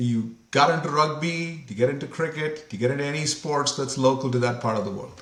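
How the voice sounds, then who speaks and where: Amid noticeable background noise, a man with a fairly high voice speaks at a fairly quick pace with hardly any pauses. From India, Mumbai. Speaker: company CEO. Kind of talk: interview conversation.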